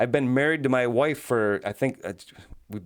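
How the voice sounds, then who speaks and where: At a moderate pace, a man speaks in an animated tone with a medium pitch and ordinary pitch variation. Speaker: podcaster, former juror. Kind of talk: casual monologue.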